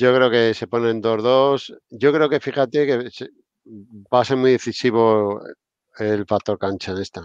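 Against a quiet background, a man speaks at a fairly slow pace with fairly even intonation in a dry sound with no echo. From Spain. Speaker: basketball podcast host. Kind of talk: casual chat. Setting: live stream with chat. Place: home room. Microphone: video call.

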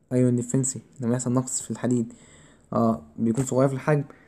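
Very fast and dark, mellow in tone, a man's voice comes through in a very clean recording with a silent background. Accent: Egyptian. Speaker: physiology tutor. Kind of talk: exam review lecture. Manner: loud.

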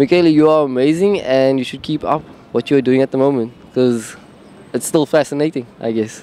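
A man speaks at a fairly quick pace in a fairly high pitch. The sound is dry with no echo, over light background noise. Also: ordinary pitch variation. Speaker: member of the public. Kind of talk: street interview. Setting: outdoors. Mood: warm, smiling, slightly shy. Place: street. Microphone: handheld.

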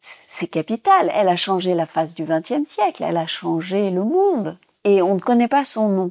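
A woman talks fairly slowly in an unremarkable speaking voice at medium pitch, her intonation lively. The recording is dry and close with no echo. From Tunisia. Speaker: former physicist and theatre director. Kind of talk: interview testimony.

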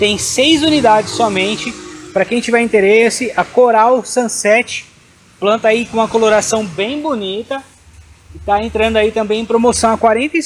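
A man with a high pitch and a Brazilian accent, ordinary pitch variation, a moderate pace and light background noise. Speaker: orchid shop seller. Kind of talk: sales pitch, street-seller style promo patter.

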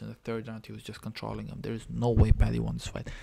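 This is a man's voice. He speaks quietly. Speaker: MMA fan reacting. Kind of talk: casual MMA fight reaction to camera. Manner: quiet, low voice. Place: home room. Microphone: webcam.

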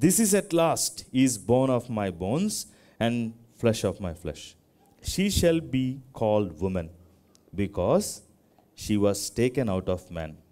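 The speech goes at a very slow pace, broken by long, frequent pauses. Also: man. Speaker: preacher. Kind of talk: scripture reading in a sermon. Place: church.

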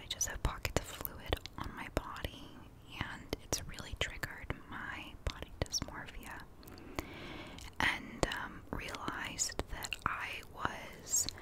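A soft-spoken woman whispers at a very slow pace. Loud background noise fills the recording. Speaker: ASMR or wellness creator. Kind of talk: soft casual talk on mental health. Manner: soft intimate whisper, close to mic. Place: home room. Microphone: studio mic.

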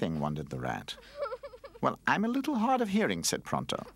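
The passage is delivered by reading aloud in a natural voice.

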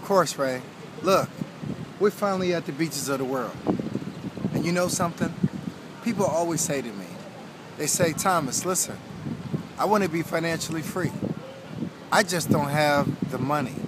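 With long, frequent pauses, a man speaks at a moderate pace and ordinary pitch variation, his dry, echo-free sound set against loud background noise. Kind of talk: motivational tip to camera. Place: beach.

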